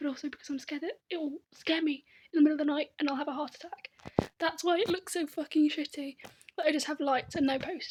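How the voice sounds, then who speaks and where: A woman whispering very fast with a British accent. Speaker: vlogger. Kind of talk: casual vlog monologue. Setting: in her room. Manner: half whispering.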